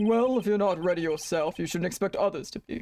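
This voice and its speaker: A guttural put-on character voice in a middle pitch rattles along at a very fast pace. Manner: stern, authoritative.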